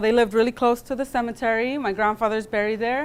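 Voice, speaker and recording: With an American accent and a normal speaking voice, a woman talks at a fairly quick pace and a fairly high pitch. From California. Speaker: guest speaker. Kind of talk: lecture. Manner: casual, with many fillers.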